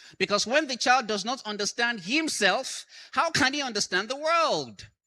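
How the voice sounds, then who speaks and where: Against a silent background in a very clean recording, a man projects a raised voice with a bright, sharp tone and very wide pitch swings. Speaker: conference speaker, educator. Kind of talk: conference talk. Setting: stage with audience.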